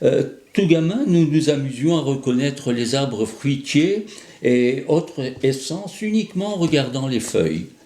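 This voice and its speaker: With a dark, mellow tone and lively intonation, this man talks at a fairly slow pace in a fairly high pitch. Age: 80s+. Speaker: association president. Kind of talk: scripted address. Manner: hesitant, frequent fillers.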